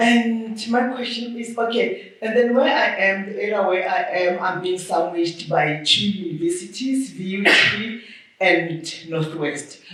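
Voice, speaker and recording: A medium-pitched female voice at a fairly slow pace with ordinary pitch variation, audible room echo and noticeable background noise. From Limpopo, South Africa. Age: 60s. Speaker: audience member, property owner. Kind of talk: audience question.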